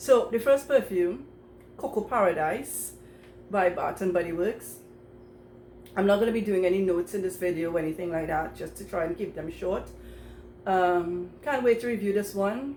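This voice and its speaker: A woman speaks at a medium pitch with ordinary pitch variation, leaving long, frequent pauses. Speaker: perfume YouTuber. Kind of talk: casual collection review to camera. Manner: fast; hesitant, many fillers.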